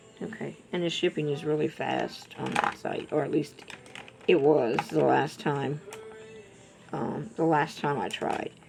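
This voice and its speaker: Music can be heard in the background. This female speaker goes at a fairly slow pace. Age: 60s. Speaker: beauty vlogger. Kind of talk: casual makeup tutorial chat. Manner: chatty.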